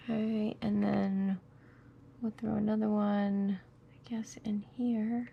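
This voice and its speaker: A woman with a fairly high voice speaks at a very slow pace. Her pauses are long and frequent. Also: fairly even intonation, big swings in loudness. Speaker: crafting tutorial host. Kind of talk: tutorial. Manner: casual, thinking aloud.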